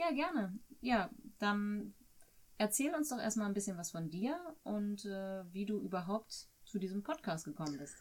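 The voice is somewhat breathy and the pace fairly slow. Pitch swings very widely. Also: woman, medium pitch for a woman. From Germany. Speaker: host's wife acting as interviewer. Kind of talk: casual interview. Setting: sitting next to the host.

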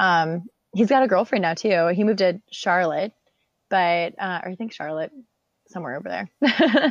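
A woman's normal speaking voice at medium pitch and a moderate pace, with lively intonation, big swings in loudness, and a dry, close sound with no echo. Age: 20s. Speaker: reality TV contestant. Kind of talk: casual chat. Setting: remote call.

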